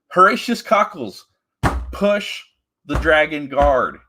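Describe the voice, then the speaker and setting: The recording is very clean, with a silent background. A man talks with lively intonation and a bright, sharp tone. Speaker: comics commentary streamer. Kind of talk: live stream commentary. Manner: casual, hesitant with fillers.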